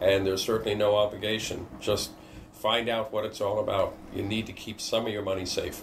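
Noticeable background noise sits behind a man speaking at a fairly quick pace. His fairly low voice is monotone and flat. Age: 70s. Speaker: business owner and financial client. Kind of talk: interview. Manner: halting.

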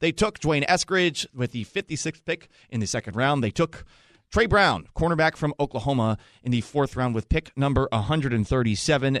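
Loud and energetic, a man speaks at a fairly high pitch and a fairly quick pace, with a dry, close sound and no echo. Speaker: radio host. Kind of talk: live radio draft coverage with host banter. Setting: radio studio. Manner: loud, bantering, energetic.

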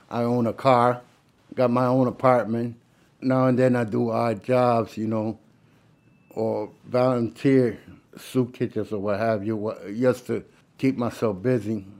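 A man with an American accent and medium pitch speaks at a fairly slow pace in a monotone, flat way, with long, frequent pauses. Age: 60s. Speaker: former prisoner. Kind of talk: interview.

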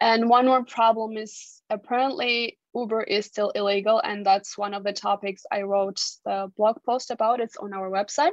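A woman with a fairly high pitch speaks with a Georgian accent at a moderate pace. Her intonation is fairly even and she hardly pauses. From Georgia (country). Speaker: consumer policy researcher. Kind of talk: casual chat. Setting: remote call.

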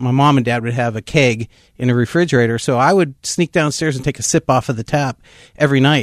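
A man with an American accent speaks at a fairly quick pace in a plain, everyday voice, his medium pitch held to a fairly even intonation in a dry, close sound with no echo. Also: quiet background. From Pittsburgh area, Pennsylvania. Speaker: pastor. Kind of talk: testimony.

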